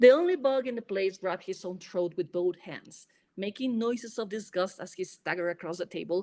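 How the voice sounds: With lively intonation, a natural reading voice carries the text.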